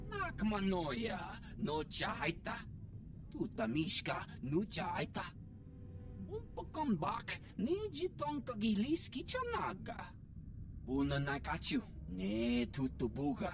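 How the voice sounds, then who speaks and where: Over loud background noise, a put-on character voice moves at a fairly slow pace with long, frequent pauses. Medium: video game. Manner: speaks an alien language.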